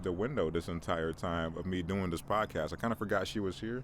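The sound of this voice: A man speaks at a moderate pace with a low pitch.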